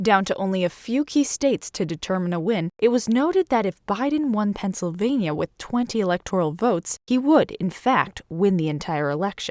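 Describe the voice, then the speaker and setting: A woman speaks quickly with hardly any pauses, in an unremarkable speaking voice at medium pitch. Her intonation is lively, and the sound is dry and close with no echo. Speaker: TV reporter. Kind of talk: news package voice-over.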